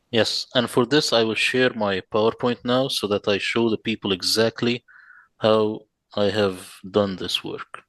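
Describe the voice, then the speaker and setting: A man with an Arabic accent speaks at a fairly slow pace with fairly even intonation. The sound is dry and close with no echo, over a quiet background. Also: medium pitch for a man. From Middle East. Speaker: Quran translator. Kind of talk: presentation.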